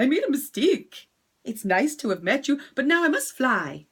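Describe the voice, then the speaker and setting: A female-sounding voice uses a put-on character voice with a high pitch, going at a moderate pace. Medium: read story.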